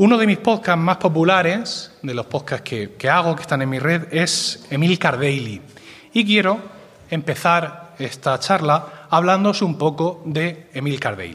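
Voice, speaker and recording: The pace is fairly slow, with lively intonation. A man talks at a high pitch. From Spain, Murcia. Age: 40s. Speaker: podcaster and podcast network director. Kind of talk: conference talk.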